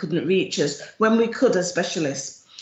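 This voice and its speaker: A woman with a Jamaican accent speaks at a moderate pace, her pitch medium and her intonation lively. Noticeable background noise and audible room echo fill the recording. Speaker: charity chief executive. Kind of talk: presentation at an online event.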